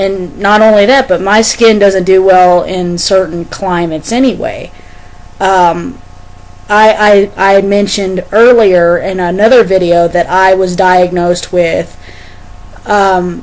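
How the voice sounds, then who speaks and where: A woman at medium pitch with an American accent, fairly slow pace and fairly even intonation, over noticeable background noise. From Arkansas. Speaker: merchandise reviewer. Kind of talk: casual vlog talk. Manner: halting, many fillers and repeats.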